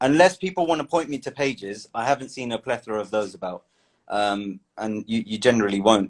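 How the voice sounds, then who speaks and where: A man with a British accent talks fairly quickly with lively intonation, in a dry, close sound with no echo. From England. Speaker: guest, biochemistry graduate. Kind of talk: casual chat. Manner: halting, many fillers. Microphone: cutting off, voice low.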